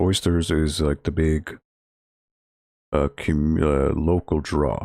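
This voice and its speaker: In a dry, close sound with no echo, a man speaks in a relaxed tone. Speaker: library video game club streamer. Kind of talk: casual gaming livestream chat. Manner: low-energy, relaxed.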